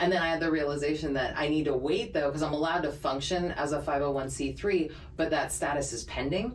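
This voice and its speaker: A woman speaks at a very deep, low pitch. Audible room echo and noticeable background noise fill the recording. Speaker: podcast co-host. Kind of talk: casual chat. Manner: naturally fast talker; clear articulation from voiceover training.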